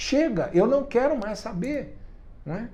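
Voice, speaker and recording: The man talks fairly slowly. Very wide swings mark his pitch. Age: 70s. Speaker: writer and activist. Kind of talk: interview. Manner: hesitant, with repetitions and fillers.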